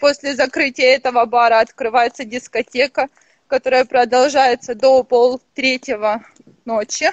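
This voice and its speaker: A woman speaks at a moderate pace with a high pitch and monotone, flat intonation. Her loudness stays very even, the sound is dry with no echo, and the background is quiet. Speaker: hotel representative. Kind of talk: guided hotel tour on a live stream. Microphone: internet connection dropped; video call.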